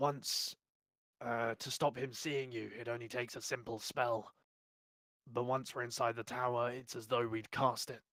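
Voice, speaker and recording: In a put-on character voice, a man sounds raspy at a medium pitch, speaking at a moderate pace with monotone, flat intonation. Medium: actual play.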